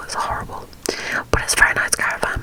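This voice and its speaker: A woman whispering at a moderate pace over noticeable background noise. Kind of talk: ASMR whisper ramble to camera. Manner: whispered, soft-spoken, chatty.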